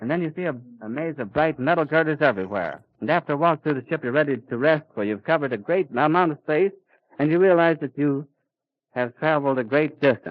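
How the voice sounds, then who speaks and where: Very fast speech comes from a man whose pitch varies in an ordinary way. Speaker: radio reporter. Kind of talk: live radio news commentary. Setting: outdoors at an airfield.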